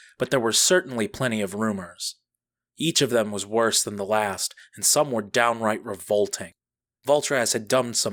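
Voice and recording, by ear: Someone reads aloud in a natural voice with ordinary pitch variation against a quiet background.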